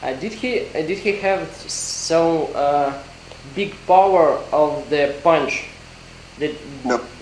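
A man's very slow speech broken by long, frequent pauses, with audible room echo and light background noise. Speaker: interviewer. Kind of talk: interview. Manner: halting. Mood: hesitant, halting. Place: hall.

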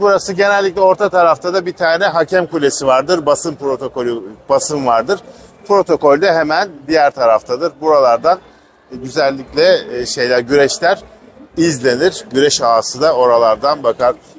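Ordinary pitch variation marks this man's speech. He keeps a moderate pace over light background noise. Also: dry sound with no echo. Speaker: travel vlogger. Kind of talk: casual tour guide commentary. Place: stadium. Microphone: phone near.

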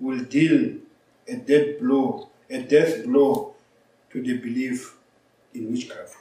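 In a room with audible echo, a man talks at a very slow pace. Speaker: preacher or lecturer. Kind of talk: lecture. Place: office.

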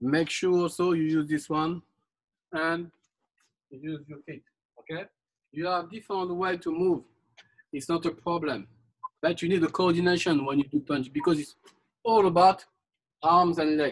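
Over a quiet background, a man talks at a moderate pace and leaves long, frequent pauses. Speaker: fitness instructor. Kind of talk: live group boxing class, barked drill commands and coaching cues. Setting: live online group workout class. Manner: loud, clipped, insistent, repeating commands and 'okay' constantly. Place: garden. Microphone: camera far.

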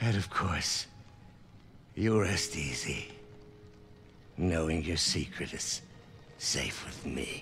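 A man uses a put-on character voice at an extremely low pitch, speaking at a slow pace with a fairly bright tone, lively intonation, and long, frequent pauses.

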